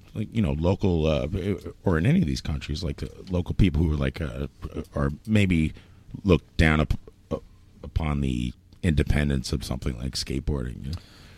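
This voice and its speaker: In a New York accent, a man speaks with a very deep, low pitch, vocal fry and ordinary pitch variation. His pace is fairly quick, broken by long, frequent pauses. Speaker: podcast host. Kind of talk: casual chat. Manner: profane and joking.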